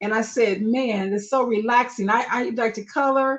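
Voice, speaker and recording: At a fairly slow pace, a woman with an ordinary speaking voice talks with a fairly high pitch and ordinary pitch variation. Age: 60s. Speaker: marketing strategist and coloring book author. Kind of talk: live stream interview, personal story. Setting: live stream.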